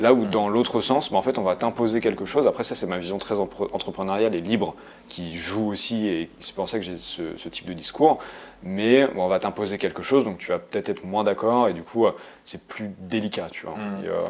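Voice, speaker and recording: An unremarkable speaking voice from a man, fairly low in pitch, with ordinary pitch variation, big swings in loudness and a fairly quick pace. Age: young. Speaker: solopreneur and ghostwriter for executives. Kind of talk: casual chat. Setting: in person in Budapest.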